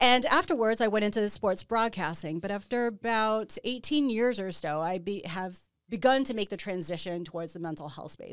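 Using a plain, everyday voice, a woman talks with ordinary pitch variation. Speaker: podcast host and panel moderator. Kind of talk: panel discussion. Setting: live panel with audience on campus.

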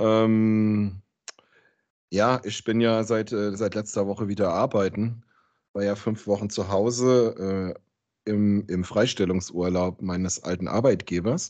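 Against a quiet background, a man speaks very slowly in a fairly low pitch with fairly even intonation. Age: 40s. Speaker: podcast host. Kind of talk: casual chat.

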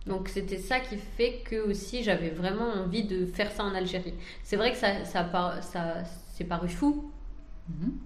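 A somewhat breathy woman at medium pitch, fairly slow, with ordinary pitch variation and audible room echo. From France. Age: 30s. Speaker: entrepreneur. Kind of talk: interview.

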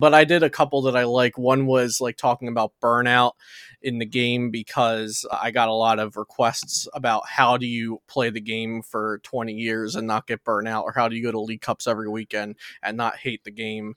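In a very clean recording with a silent background and a dry, close sound with no echo, a man with an American accent and medium pitch talks at a moderate pace with monotone, flat intonation. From New Jersey. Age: 20s. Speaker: trading card game content creator. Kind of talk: casual interview.

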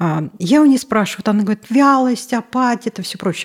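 A woman talks at a very fast pace. Her somewhat breathy voice makes very wide pitch swings. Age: 50s. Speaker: obstetrician-gynecologist. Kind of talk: interview. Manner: animated.

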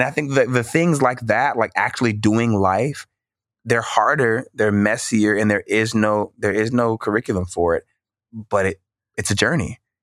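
Against a silent background in a very clean recording, a man with an American accent uses an unremarkable speaking voice at a moderate pace and very even loudness, the sound dry and close with no echo. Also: medium pitch for a man, ordinary pitch variation. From US South, Mississippi. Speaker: minister and poet. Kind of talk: interview conversation.

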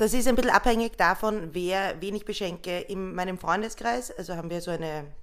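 Speaking at a fairly quick pace, a woman uses an unremarkable speaking voice with medium pitch and ordinary pitch variation. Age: 30s. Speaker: social worker running a shelter. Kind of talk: casual chat.

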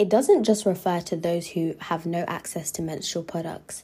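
With a London accent, a woman of fairly low pitch speaks at a moderate pace in a dark, mellow tone with lively intonation. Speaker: podcast host, university student. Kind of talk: solo podcast monologue.

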